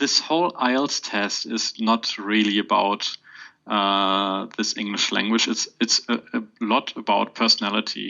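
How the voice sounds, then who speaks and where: A man's fairly low voice with a German accent, ordinary pitch variation and a fairly slow pace. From Germany. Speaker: podcast guest, exam candidate. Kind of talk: podcast interview. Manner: halting, many fillers.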